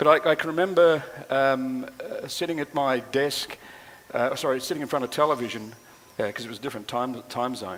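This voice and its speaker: A man with an Australian accent speaks fairly quickly in a fairly high voice, with ordinary pitch variation. His loudness swings a lot, and noticeable background noise runs underneath. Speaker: speaker at a tourism and flood planning forum. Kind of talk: public address at a forum. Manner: halting, many filler words.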